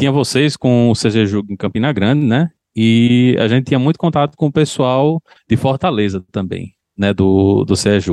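A man in a normal speaking voice talks at medium pitch and a moderate pace, with ordinary pitch variation and very even loudness. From João Pessoa, Paraíba, Brazil. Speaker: software engineer. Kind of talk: casual interview chat.

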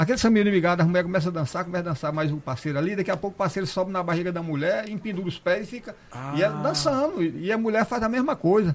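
Noticeable background noise sits behind a man with a high pitch and lively intonation. He races along at a very fast pace with hardly any pauses. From Brazilian Northeast. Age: 60s. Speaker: cordel poet. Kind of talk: casual chat.

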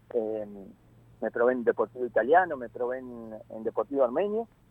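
Using lively intonation, a man talks at a fairly quick pace in a medium pitch. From Argentina, northern Santa Fe province (Malabrigo). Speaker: football coach. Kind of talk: interview. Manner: halting, many fillers.

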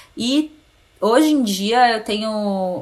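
A woman talks at a very slow pace. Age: 30s. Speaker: journalist and communication consultant. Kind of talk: casual interview. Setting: remote recording.

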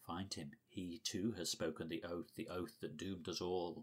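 In a put-on character voice, a man speaks with a very deep, low pitch and a raspy sound, keeping his intonation fairly even at a fairly slow pace. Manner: eerie, ominous.

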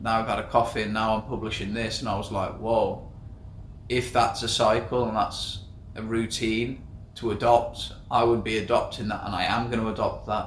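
A man with an English accent, medium-pitched and flat in intonation, at a moderate pace with audible room echo. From England. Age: 20s. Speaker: podcast co-host, entrepreneur. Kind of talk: casual chat.

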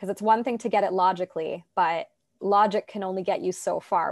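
A woman with a Canadian accent and an ordinary speaking voice, at a moderate pace with fairly even intonation, in a very clean recording with a silent background and a dry, close sound with no echo. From Toronto, Canada. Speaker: life coach and podcast host. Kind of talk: casual interview chat.

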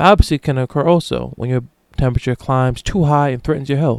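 Here a man speaks at medium pitch. His pitch varies in an ordinary way. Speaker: solo podcast host. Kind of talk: reading aloud; casual solo monologue. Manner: stumbling over words.

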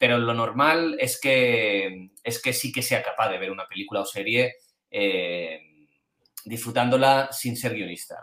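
A man's bright, sharp tone comes through as he talks fairly slowly. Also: medium pitch for a man, ordinary pitch variation. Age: 40s. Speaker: screenwriter. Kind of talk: interview answering questions. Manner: halting.

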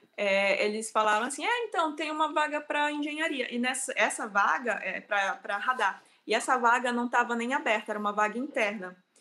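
A woman speaks at a moderate pace. Her fairly high pitch carries a bright, sharp tone. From Brazil, Amazonas (Manacapuru/Manaus). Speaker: engineer, researcher. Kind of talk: interview, casual. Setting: online livestream.

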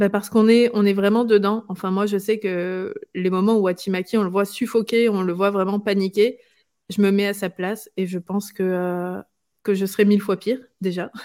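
At a moderate pace, the voice has a dark, mellow tone and monotone, flat intonation. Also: woman, medium pitch for a woman. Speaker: manga columnist. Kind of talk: casual chat.

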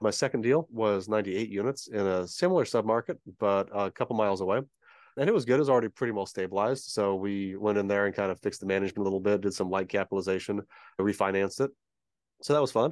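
Against a quiet background, a man talks at a very fast pace with a fairly low pitch and ordinary pitch variation, in a dry, close sound with no echo. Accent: American. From San Diego, California. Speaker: real estate investor. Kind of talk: interview. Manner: fast talker.

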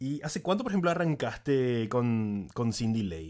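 Here a man speaks at a medium pitch. His intonation is lively and his pace moderate. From Paraguay, San Lorenzo. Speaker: music YouTuber. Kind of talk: casual chat.

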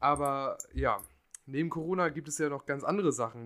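A man speaks at a moderate pace. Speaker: podcast host. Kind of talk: casual chat.

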